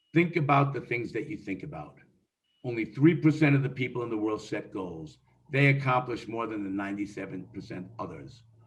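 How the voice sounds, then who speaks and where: A man at medium pitch, somewhat breathy, with lively intonation, a fairly quick pace and big swings in loudness. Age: 60s. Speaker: real estate investor. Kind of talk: interview.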